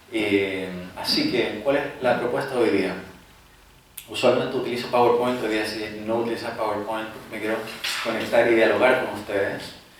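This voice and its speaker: A man speaks at medium pitch and a moderate pace with fairly even intonation, audible room echo, and noticeable background noise. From southern Chile. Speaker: psychologist and meditation teacher. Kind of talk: lecture. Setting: university auditorium with audience. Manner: hesitant, many fillers.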